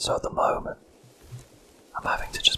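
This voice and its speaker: Noticeable noise sits in the background. Over it comes a whisper. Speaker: ASMR gaming channel host. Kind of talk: whispered let's play commentary. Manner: whispering; hesitant, filler-heavy. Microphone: mic too close to laptop, noise removal applied.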